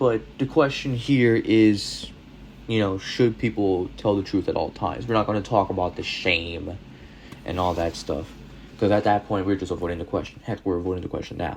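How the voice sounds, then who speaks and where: This man speaks at a fairly low pitch. His pace is moderate, with ordinary pitch variation. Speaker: youtuber. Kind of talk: casual commentary monologue.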